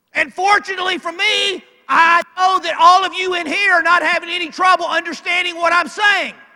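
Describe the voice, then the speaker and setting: A man's raised, projected voice in a Southern US accent, extremely high-pitched with a bright, sharp tone, at a fairly quick pace. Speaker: NFL referee and speaker. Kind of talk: motivational speech. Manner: animated.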